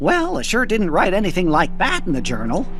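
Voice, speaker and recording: A cartoonish character voice sits at a middle pitch and moves at a fairly quick pace. Clear background noise runs underneath. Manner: fussy, earnest.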